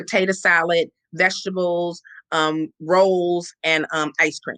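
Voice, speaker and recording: Loud and fairly low in pitch, a woman's voice comes through. The sound is dry and close with no echo. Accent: American. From Compton, Los Angeles, US. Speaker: founder of homeless charity. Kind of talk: interview.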